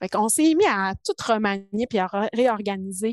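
Against a quiet background, a woman with a medium pitch speaks fairly slowly in a dry, close sound with no echo. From Quebec, Saguenay–Lac-Saint-Jean (Alma). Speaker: biochemist and project leader. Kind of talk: interview. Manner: calm.

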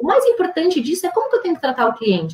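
This woman's voice is somewhat breathy. Her pitch moves in very wide swings. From Brazil. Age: 40s. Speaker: business founder and CEO. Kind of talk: interview conversation.

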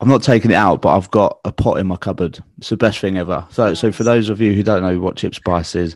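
The speech races along at a very fast pace with fairly even intonation. The sound is dry and close without echo, over a quiet background. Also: man. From southeast London. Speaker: podcast host. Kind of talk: casual podcast interview.

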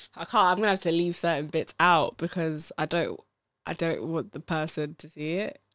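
Against a quiet background, a woman with an unremarkable speaking voice talks at a moderate pace in a fairly low pitch with ordinary pitch variation, the sound dry and close with no echo. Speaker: book club podcast co-host. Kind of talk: casual chat discussing a book.

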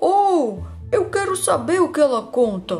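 Over clear background noise, a put-on character voice speaks in a high pitch at a fairly slow pace. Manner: excited, exclaiming.

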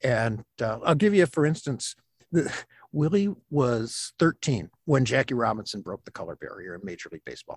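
Moderately paced speech with an Upper Midwest accent, vocal fry, very wide pitch swings and big swings in loudness, in a dry, close sound with no echo. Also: man, medium pitch for a man. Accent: Upper Midwest American. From Michigan, Flint. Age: 60s. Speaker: stay-at-home dad, author and science teacher. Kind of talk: casual interview.

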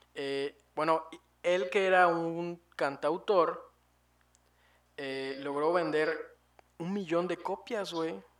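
With a Mexican accent, a man speaks at a very slow pace in a high pitch with ordinary variation and long, frequent pauses. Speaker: podcast co-host. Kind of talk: casual chat.

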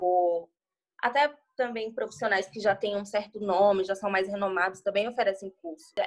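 The speaker is a woman with ordinary pitch variation. She goes at a moderate pace. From Bahia, Brazil. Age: 20s. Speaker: hairdresser and salon owner. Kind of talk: casual interview.

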